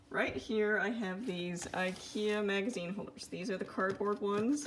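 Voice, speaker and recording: A woman talks at a moderate pace. Background noise is noticeable throughout. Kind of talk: casual vlog chat. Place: home room. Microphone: phone near.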